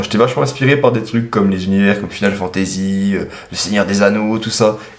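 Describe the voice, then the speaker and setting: A man with a fairly low pitch. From eastern France, Franche-Comté. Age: 20s. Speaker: self-published author and machinist. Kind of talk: interview answering read-out questions. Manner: casual, hesitant with fillers.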